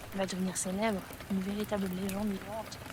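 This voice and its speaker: A soft-spoken woman at a medium pitch and moderate pace, with audible room echo and noticeable background noise. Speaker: ASMR creator. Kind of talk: reading aloud.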